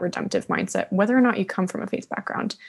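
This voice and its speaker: Against a quiet background, a woman speaks with vocal fry and ordinary pitch variation. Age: young. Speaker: support group leader; podcast guest or host. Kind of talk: personal testimony. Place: studio. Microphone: studio mic.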